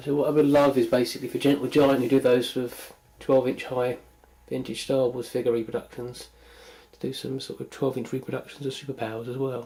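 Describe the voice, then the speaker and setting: With a British accent, a man speaks at a fairly quick pace in monotone, flat intonation. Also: medium pitch for a man, big swings in loudness. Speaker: toy collector. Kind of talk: video tour narration. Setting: at home. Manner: casual.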